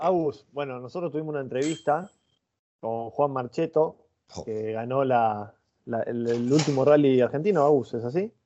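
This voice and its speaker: The speaker is a man with a plain, everyday voice at a medium pitch. His pace is moderate and his pitch shows ordinary variation. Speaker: podcast co-host. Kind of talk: interview.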